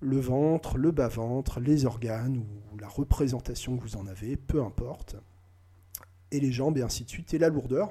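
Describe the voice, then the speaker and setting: A man's somewhat breathy, dark and mellow voice at medium pitch, moderate in pace, with big swings in loudness. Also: ordinary pitch variation. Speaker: hypnotist. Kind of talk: tutorial; hypnotic induction demo. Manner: halting.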